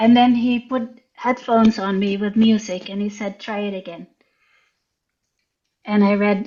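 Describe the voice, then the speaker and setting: A woman with a Dutch accent speaks at a medium pitch in a somewhat breathy, monotone, flat way. Her pace is fairly slow, with long, frequent pauses. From Netherlands. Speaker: writer and visual artist. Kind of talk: interview storytelling. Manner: hesitant.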